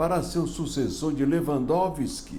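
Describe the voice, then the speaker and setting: A man with a medium-pitched, dark and mellow voice shows some vocal fry, heard with audible room echo. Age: 70s. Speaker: political commentator. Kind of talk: opinion commentary.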